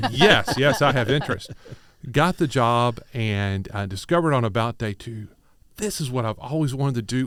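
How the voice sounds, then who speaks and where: A man with a slight Kentucky accent at a moderate pace, with ordinary pitch variation, on a very clean recording with a silent background. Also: medium pitch for a man. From Kentucky, Louisville. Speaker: business chamber executive. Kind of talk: radio interview. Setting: studio.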